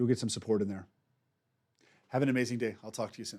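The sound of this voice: A man at a fast pace, fairly low in pitch, slightly mellow in tone, with fairly even intonation, on a very clean recording with a silent background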